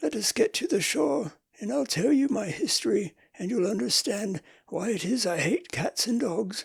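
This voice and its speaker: A man uses a put-on character voice, high-pitched, raspy and shaky. His pace is moderate. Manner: emotional, pale with passion.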